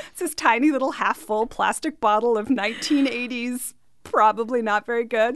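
A woman at a moderate pace, her pitch high with ordinary variation. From Canada. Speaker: mixologist. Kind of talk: casual radio interview.

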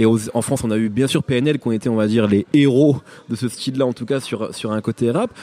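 A man talks at a fairly quick pace with fairly even intonation. The sound is dry and close with no echo, though there is noticeable background noise. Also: medium pitch for a man. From Picardy. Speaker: podcast host, interviewer. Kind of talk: interview. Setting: hotel.

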